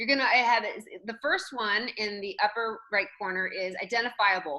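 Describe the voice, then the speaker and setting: A woman speaks loudly with a bright, sharp tone and lively intonation. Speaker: real estate trainer. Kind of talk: online training session. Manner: animated.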